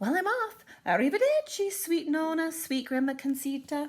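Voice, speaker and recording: A woman puts on a squeaky character voice with an extremely high pitch. She keeps a moderate pace. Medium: read story. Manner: chatty, boastful.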